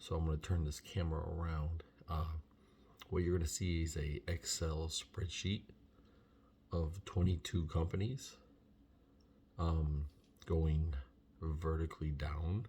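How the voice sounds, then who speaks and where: The speaker is soft-spoken and somewhat breathy, with a dark, mellow tone, fairly even intonation and a fairly slow pace broken by long, frequent pauses. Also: man, very deep, low pitch for a man. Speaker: vlogger researching trucking lease purchase programs. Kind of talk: casual vlog tutorial. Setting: at home.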